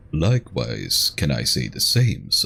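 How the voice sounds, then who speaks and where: Someone uses a put-on character voice at a fairly slow pace over clear background noise. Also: man. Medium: virtual streamer.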